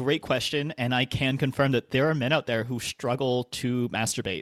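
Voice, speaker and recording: An ordinary speaking voice from a man at medium pitch, with ordinary pitch variation, a moderate pace and hardly any pauses, dry and close with no echo on a very clean recording with a silent background. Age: 20s. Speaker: sex educator. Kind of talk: casual chat.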